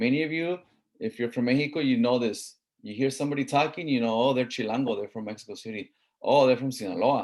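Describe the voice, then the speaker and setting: A man with an American accent, medium in pitch, talking very fast. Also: ordinary pitch variation. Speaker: college instructor. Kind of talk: lecture. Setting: online class with screen share. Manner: casual, conversational.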